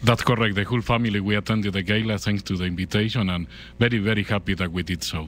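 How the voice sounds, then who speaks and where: Speaking very fast with a Spanish accent, a man keeps a fairly low pitch and fairly even intonation. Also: very clean recording, silent background. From Argentina. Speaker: journalist. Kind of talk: interview.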